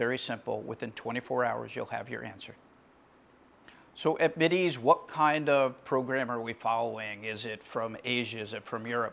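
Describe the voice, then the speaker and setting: A man's medium-pitched voice with vocal fry, ordinary pitch variation and big swings in loudness. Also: moderate pace. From USA. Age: 60s. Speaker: physician. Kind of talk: promotional talk.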